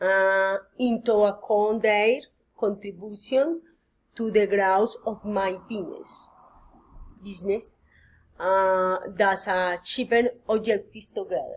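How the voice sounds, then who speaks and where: Speaking at a very slow pace with long, frequent pauses, a woman with a Spanish accent keeps a medium pitch and fairly even intonation. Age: 40s. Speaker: psychology student. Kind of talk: mock job interview practice. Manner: halting, hesitant.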